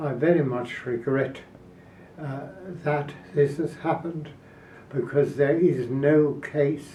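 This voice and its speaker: The delivery is very slow, with long, frequent pauses and a monotone, flat intonation. Noticeable background noise runs underneath. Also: man, fairly high pitch for a man. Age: 80s+. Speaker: political activist. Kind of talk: interview answer.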